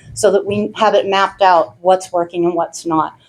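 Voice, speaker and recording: With ordinary pitch variation, a woman talks at a moderate pace in a medium pitch. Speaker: fire department volunteer at town meeting. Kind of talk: town meeting remarks. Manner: loud.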